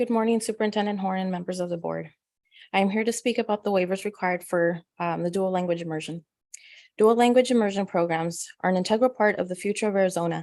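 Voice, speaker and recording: In a Spanish accent, a woman speaks at a very fast pace with a medium pitch and fairly even intonation. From Spanish-speaking country. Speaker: parent speaking at public comment. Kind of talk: prepared public comment. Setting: board meeting.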